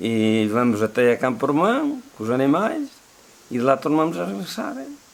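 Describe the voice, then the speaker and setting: Through noticeable background noise, a man with a medium pitch speaks fairly slowly, his intonation lively. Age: 70s. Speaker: villager and walk guide. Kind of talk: documentary interview.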